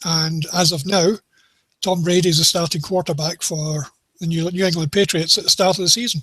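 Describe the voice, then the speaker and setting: Speaking in a Scottish accent, a man with a high pitch keeps fairly even intonation at a moderate pace, in a dry, close sound with no echo. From Scotland. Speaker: NFL betting tipster. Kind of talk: casual sports discussion.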